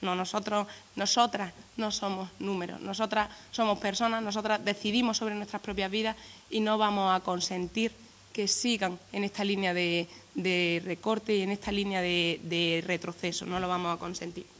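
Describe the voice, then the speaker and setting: Her intonation is fairly even. The woman speaks at a moderate speed. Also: medium pitch for a woman. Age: 20s. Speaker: youth political activist. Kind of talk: press conference statement. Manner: halting, many repetitions.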